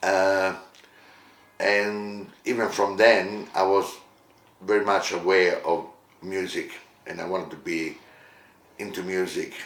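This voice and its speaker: A man with an Italian accent speaks very slowly in a monotone, flat voice, with long, frequent pauses. Audible room echo surrounds him. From Italy, Rome; moved to Australia as a teenager. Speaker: musician and entertainment company director. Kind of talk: interview monologue, life story. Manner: hesitant, many fillers.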